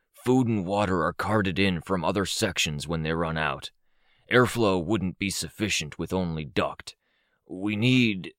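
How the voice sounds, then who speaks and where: A man's put-on character voice, raspy and very deep and low, at a moderate pace, with a dry, close sound with no echo on a very clean recording with a silent background. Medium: read story. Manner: flat, emotionless, matter-of-fact.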